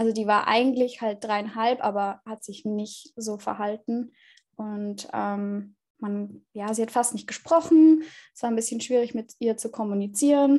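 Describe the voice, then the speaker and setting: On a very clean recording with a silent background, a woman speaks at a fairly high pitch in a dark, mellow tone, with ordinary pitch variation and big swings in loudness. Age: 20s. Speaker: former au pair, student. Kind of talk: interview. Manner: hesitant with fillers.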